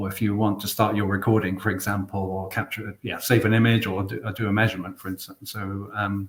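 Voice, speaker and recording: A man with a British accent talks at a very fast pace with hardly any pauses. His intonation stays monotone and flat. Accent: English UK. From England. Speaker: product specialist presenting a webinar. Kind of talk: product webinar presentation. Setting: online webinar. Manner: hesitant, many fillers.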